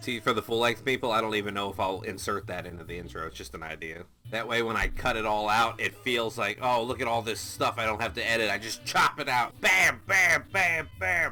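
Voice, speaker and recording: Music plays in the background as a man speaks at a fairly low pitch. He talks at a fairly quick pace with hardly any pauses and ordinary pitch variation. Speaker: TV show reactor. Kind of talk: reaction commentary. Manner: loud.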